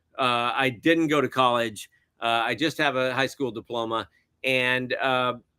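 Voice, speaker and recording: Fairly even intonation and a fairly slow pace mark this man's speech. He has an American accent and a medium pitch. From US South (Alabama). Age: 60s. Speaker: film director and cinematographer. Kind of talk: interview conversation. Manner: hesitant, many fillers.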